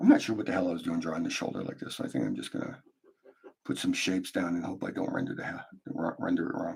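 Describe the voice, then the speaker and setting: A man mumbles at a very fast pace. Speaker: artist live-streaming a drawing. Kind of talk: casual live stream chat while drawing. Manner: mumbling to himself; hesitant, many fillers.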